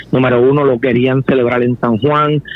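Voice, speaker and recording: A man with an ordinary speaking voice, at a medium pitch and moderate pace. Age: 50s. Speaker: political candidate. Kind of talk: interview.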